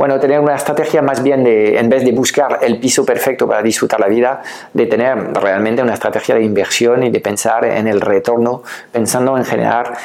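A man's medium-pitched voice at a fairly quick pace, very even in loudness, with fairly even intonation and noticeable background noise. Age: 50s. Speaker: online business coach. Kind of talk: educational video talk. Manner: hesitant with filler sounds.

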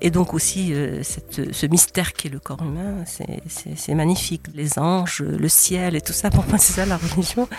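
A woman's unremarkable speaking voice, fairly low in pitch with ordinary variation, at a fairly slow pace with hardly any pauses. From Morocco. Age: 60s. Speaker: essayist and retired doctor. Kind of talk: interview. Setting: in person.

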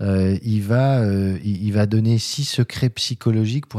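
Fairly low-pitched male voice with a dark, mellow tone. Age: 50s. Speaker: HR recruiter and entrepreneur. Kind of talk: casual interview. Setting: in host's office.

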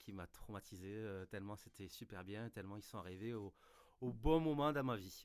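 Speaking with a southern French accent, a man uses lively intonation at a fairly low pitch and a moderate pace. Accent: southern French, sing-song. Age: 30s. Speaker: music fan, band member. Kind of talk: casual chat.

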